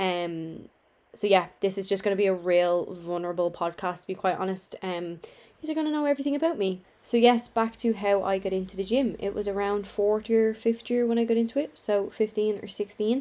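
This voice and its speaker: Speaking fairly quickly with a Dublin accent, a woman uses a dark, mellow tone, medium pitch and ordinary pitch variation. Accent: Dublin Irish. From Ireland, Dublin. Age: 20s. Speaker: online fitness coach and podcaster. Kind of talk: casual chat. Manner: conversational.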